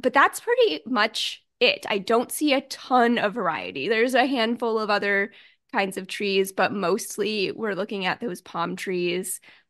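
A woman's ordinary speaking voice, fairly high, at a fairly slow pace with ordinary pitch variation over a quiet background. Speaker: podcast host. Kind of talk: casual chat.

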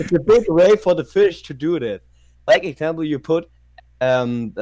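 He speaks in a German accent, a man with a fairly high pitch, moderate pace and lively intonation. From northern Germany, near Wilhelmshaven. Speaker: subscriber interviewed about his city. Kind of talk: casual chat. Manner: halting, hesitant non-native English.

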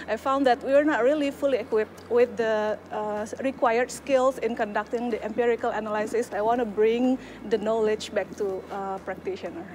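Speaking at a fairly quick pace with an Indonesian accent, the voice keeps fairly even intonation over light background noise. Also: woman, fairly high pitch for a woman. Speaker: PhD student. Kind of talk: personal testimony.

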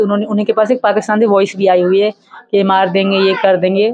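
A woman speaks with monotone, flat intonation, hardly any pauses and very even loudness, in a dry sound with no echo and light background noise. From Pakistan. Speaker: interviewee. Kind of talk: interview answer. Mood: earnest, at times emotional. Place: home room. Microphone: handheld.

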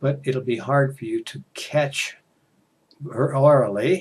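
A man with an American accent speaks at a medium pitch, his voice somewhat breathy. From United States. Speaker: English teacher. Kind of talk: casual talk to camera for English learners. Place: home room. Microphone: headset.

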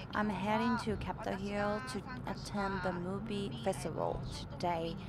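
Loud background noise surrounds a woman whose voice has a dry sound with no echo. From Japan. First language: Japanese. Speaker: audio engineer, sound production company owner. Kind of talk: casual vlog talk to camera while driving. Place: car. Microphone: phone near.

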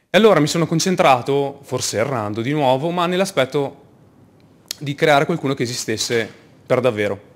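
Lively intonation marks this man's speech. He keeps a moderate pace with long, frequent pauses. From northern Italy, Verona; northern Italy. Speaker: project manager and UX developer; conference speaker. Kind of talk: conference talk. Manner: halting, frequent word repetitions. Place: hall.

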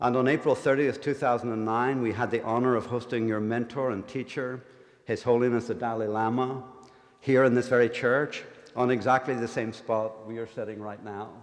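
Amid a quiet background, a man speaks at a moderate pace with monotone, flat intonation. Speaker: divinity school dean. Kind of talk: formal welcome speech. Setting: church with live audience. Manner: formal. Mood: formal, respectful. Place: church. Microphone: podium.

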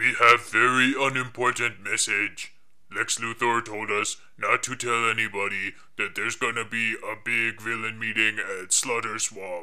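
Speaking in a monotone, flat intonation, a man keeps a moderate pace at a medium pitch. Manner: simple, broken grammar.

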